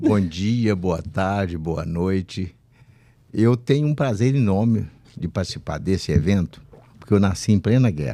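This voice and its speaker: A fairly slow pace, lively intonation and a dark, mellow tone. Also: man, very deep, low pitch for a man. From Minas Gerais, Brazil. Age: 80s+. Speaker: retired military officer, podcast co-host. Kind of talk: casual chat.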